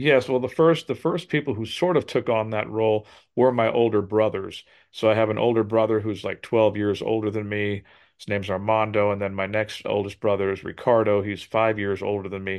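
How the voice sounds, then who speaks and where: Using an ordinary speaking voice, a man talks at a fairly quick pace and fairly low pitch with ordinary pitch variation. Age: 60s. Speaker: drummer and motivational speaker. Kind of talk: interview.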